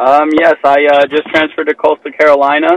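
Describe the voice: A man speaks with little pitch movement. The sound is dry and close, with no echo. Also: fairly high pitch for a man, moderate pace.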